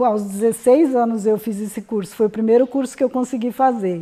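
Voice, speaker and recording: Her pitch is fairly high, yet the woman's tone is dark and mellow. She uses ordinary pitch variation. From southern Brazil, Rio Grande do Sul (Ijuí). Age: 70s. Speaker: elderly entrepreneur. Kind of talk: personal testimony interview.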